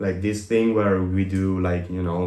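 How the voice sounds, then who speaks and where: At a fairly quick pace, a man with an Italian accent speaks in a very deep, low pitch, with audible room echo around him. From Italy. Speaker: business consultant. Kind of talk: podcast interview.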